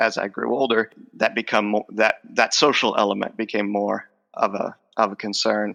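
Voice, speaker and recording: The tone is bright and sharp, with monotone, flat intonation. The pace is moderate. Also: man, dry, close sound with no echo. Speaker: professor of speech. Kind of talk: interview. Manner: halting, with repetitions.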